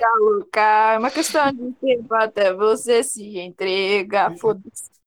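A woman speaks at a fairly slow pace in a fairly high pitch, with ordinary pitch variation. Her loudness swings widely, and she hardly pauses. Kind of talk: casual chat.

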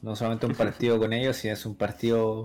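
A man talks with a Chilean accent. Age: 20s. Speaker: podcast guest. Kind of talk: casual chat.

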